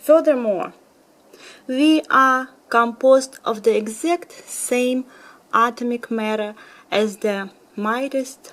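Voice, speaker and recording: A woman speaks at a very slow pace. She is soft-spoken, with ordinary pitch variation. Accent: Russian. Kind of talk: bedtime story reading.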